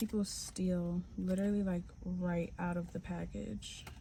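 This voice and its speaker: A woman speaks quietly. Her pace is moderate. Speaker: vlogger. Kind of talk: vlog monologue. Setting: recording on the go, walking home.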